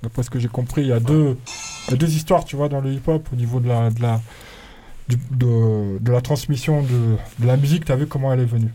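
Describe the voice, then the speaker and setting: Music plays in the background as a man speaks at a fairly quick pace with long, frequent pauses. His voice sits at a medium pitch with fairly even intonation. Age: 40s. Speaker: radio DJ and rapper. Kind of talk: casual chat. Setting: studio.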